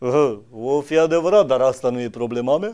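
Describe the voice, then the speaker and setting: Lively intonation runs through a man's speech against a quiet background. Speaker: comedian in a parody interview. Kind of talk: comedic interview answer. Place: studio. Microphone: studio mic.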